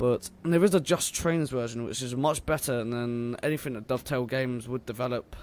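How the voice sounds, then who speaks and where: Speaking with a southern English accent, a man talks at a fairly quick pace with hardly any pauses, his medium pitch varying in an ordinary way. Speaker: gaming YouTuber. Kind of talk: let's play commentary. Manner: hesitant, many fillers.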